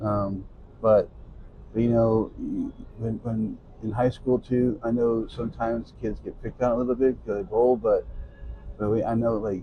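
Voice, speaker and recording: A somewhat breathy man with a medium pitch speaks with monotone, flat intonation and long, frequent pauses. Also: moderate pace. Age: 60s. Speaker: youth bowling coach. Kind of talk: interview. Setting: in-person at a bowling center.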